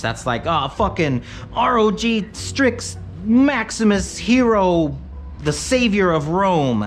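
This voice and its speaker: An American accent with audible room echo and music in the background. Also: man. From Michigan Upper Peninsula. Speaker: tech streamer. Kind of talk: live stream chat. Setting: live stream. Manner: casual, meandering.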